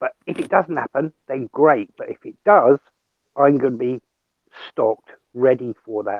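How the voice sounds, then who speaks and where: Speaking at a moderate pace with a British accent, a man uses ordinary pitch variation, big swings in loudness, and long, frequent pauses. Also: medium pitch for a man. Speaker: off-grid survival speaker. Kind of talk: casual group discussion.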